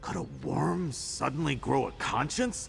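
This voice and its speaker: A man performs in a put-on character voice. Background noise is clearly heard. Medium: video game. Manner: blunt, colloquial.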